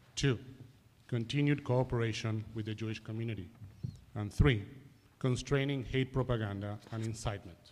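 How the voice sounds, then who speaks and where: With an Argentine accent, a man speaks at medium pitch and a moderate pace. His intonation is fairly even, broken by long, frequent pauses. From Argentina, Buenos Aires. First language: Spanish. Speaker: advocacy organization director. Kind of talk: public address to a board. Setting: police board meeting. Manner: formal.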